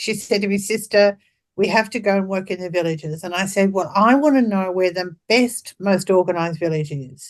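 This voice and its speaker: Here a woman with an Australian accent talks at a fairly quick pace. Her pitch sits in the medium range. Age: 70s. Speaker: birth and death doula. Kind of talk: interview. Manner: animated.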